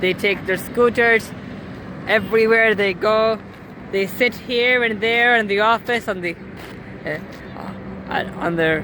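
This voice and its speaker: Over noticeable background noise, a woman speaks at a fairly slow pace in a fairly high pitch with ordinary pitch variation. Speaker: cycling vlogger. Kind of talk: casual talk to camera. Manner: hesitant, stuttering at times.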